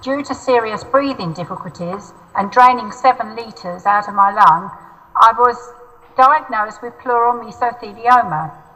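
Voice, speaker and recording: A woman with a southern English accent speaks at a high pitch and moderate pace with lively intonation, over noticeable background noise. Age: 70s. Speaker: mesothelioma patient. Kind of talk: testimony. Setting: video call.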